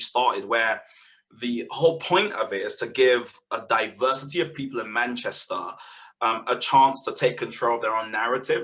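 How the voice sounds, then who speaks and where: A man with a London accent speaks at a moderate pace. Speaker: community media organiser. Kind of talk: webinar panel talk. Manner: halting, many fillers and repeats.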